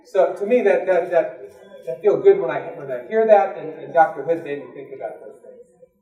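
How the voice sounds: A man's dark, mellow voice with an American accent at a fairly quick pace, with audible room echo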